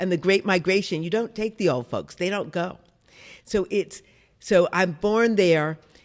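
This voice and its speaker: A woman speaks in a normal speaking voice at a fairly slow pace. Her pitch is medium, with ordinary variation. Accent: American. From US Midwest, Detroit. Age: 60s. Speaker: novelist and songwriter. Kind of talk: interview.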